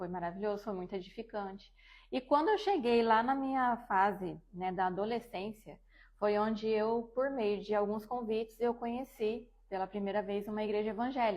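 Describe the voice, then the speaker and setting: With an unremarkable speaking voice, a woman speaks at a moderate pace in a fairly high pitch and fairly even intonation, on a very clean recording with a silent background. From Brazil, Dourados, Mato Grosso do Sul. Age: 30s. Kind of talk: testimony.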